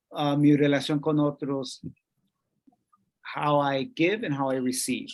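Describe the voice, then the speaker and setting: Here a man speaks at a fairly high pitch with fairly even intonation. He goes at a fairly slow pace, with long, frequent pauses. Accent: Spanish. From Colombia (Bogotá). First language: Spanish. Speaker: workshop presenter. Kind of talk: bilingual workshop lecture. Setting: video call.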